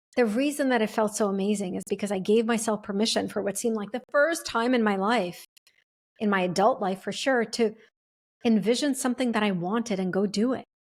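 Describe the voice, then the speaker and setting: A woman with a fairly high pitch speaks at a fairly quick pace with ordinary pitch variation. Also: very clean recording, silent background. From refugee to the US, English second language. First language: not English. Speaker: podcast host, speaker and author. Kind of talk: reflective personal monologue. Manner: casual, with frequent fillers and restarts.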